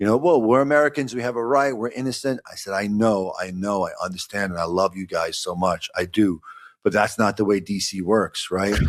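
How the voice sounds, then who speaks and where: Speaking at a fairly quick pace with a Brooklyn accent, a man with a fairly low pitch and ordinary pitch variation comes through on a very clean recording with a silent background. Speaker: lawyer. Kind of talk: podcast conversation. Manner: halting, repeats words.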